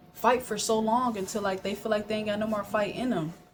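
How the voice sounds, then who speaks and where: Soft-spoken and fairly high-pitched, a woman talks at a fairly quick pace over noticeable background noise. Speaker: vlogger. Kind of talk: personal monologue to camera.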